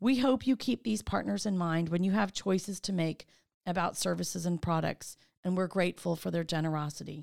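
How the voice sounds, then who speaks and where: In a very clean recording with a silent background, a woman talks in a plain, everyday voice at a fairly low pitch, with ordinary pitch variation, very even loudness and a fairly quick pace. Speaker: tour guide and chamber of commerce CEO. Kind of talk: scripted audio walking tour narration. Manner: warm, polished, and clearly paced; formal and upbeat.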